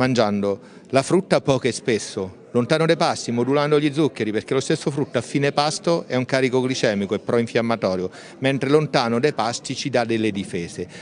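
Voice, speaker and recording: A man's medium-pitched voice at a fairly quick pace, with lively intonation, light background noise, and a dry sound with no echo. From Marche, Italy. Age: middle-aged. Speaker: doctor and nutrition speaker; speaker. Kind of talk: interview. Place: hall. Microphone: handheld.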